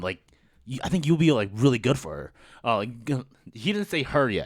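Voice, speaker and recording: Vocal fry and very wide pitch swings from a man, on a very clean recording with a silent background. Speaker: podcast host. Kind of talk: casual chat. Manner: loud; animated.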